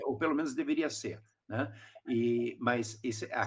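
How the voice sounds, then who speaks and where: The voice belongs to a man. Pitch variation stays ordinary. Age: 60s. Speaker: pastor. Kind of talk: podcast discussion. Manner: halting.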